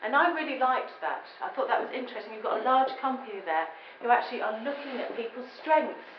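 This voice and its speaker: Lively intonation comes through in a southern English accent, with audible room echo and noticeable background noise. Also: woman. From England. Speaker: business consultant and lecturer. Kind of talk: public lecture.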